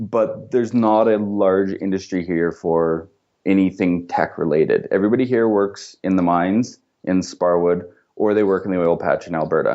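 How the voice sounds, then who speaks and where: A man with a plain, everyday voice and a Canadian accent, fairly low in pitch, at a moderate pace with fairly even intonation and very even loudness. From Canada. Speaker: entrepreneur and software developer. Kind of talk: podcast interview.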